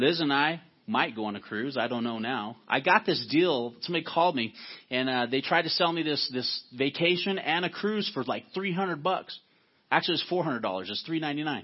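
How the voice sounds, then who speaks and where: This man has an unremarkable speaking voice, pitched fairly high. He talks at a fairly quick pace with lively intonation. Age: 40s. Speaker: pastor. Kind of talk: sermon.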